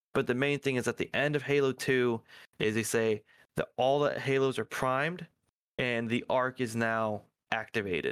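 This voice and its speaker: A man at a moderate pace and medium pitch, a plain, everyday voice, with very even loudness and a dry, close sound with no echo. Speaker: podcast co-host. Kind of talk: casual chat about video games.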